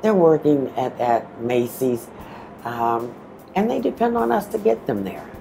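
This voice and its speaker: Noticeable background noise fills the clip. Through it, a woman can be heard talking. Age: 60s. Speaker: bus driver. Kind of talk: testimony.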